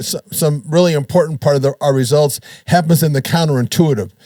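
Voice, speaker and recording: Fairly high and somewhat breathy, a man's voice shows ordinary pitch variation. He moves at a fairly quick pace. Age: 60s. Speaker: podcast host, bodybuilder. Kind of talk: casual chat.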